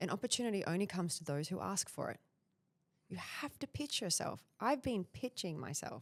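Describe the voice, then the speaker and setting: A woman talks at a fairly quick pace with an Australian accent. Her pitch swings very widely. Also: medium pitch for a woman. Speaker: personal branding expert. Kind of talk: podcast interview.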